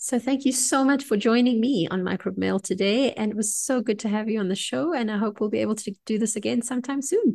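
Somewhat breathy and fairly high in pitch, a woman talks at a fairly quick pace with ordinary pitch variation against a quiet background. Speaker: clinical microbiologist and podcast host. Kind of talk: educational podcast chat.

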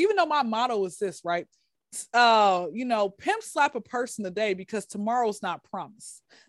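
A woman's animated tone at a moderate pace. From Atlanta, US South. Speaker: comedian. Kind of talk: stand-up style comedic storytelling in interview. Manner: animated, joking, sassy.

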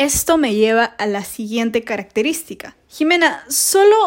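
A woman speaks with a high pitch. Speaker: podcast host, international relations student. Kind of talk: casual educational monologue.

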